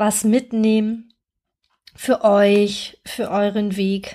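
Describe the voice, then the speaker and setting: This woman's pitch is medium. It is a very clean recording with a silent background. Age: 50s. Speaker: therapist and coach, podcast host. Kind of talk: solo podcast monologue. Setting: recording outdoors-ish on holiday on the Andalusian coast.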